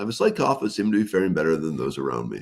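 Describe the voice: In a rumbling, put-on character voice, a man with very deep, low pitch rushes along at a very fast pace with very wide pitch swings.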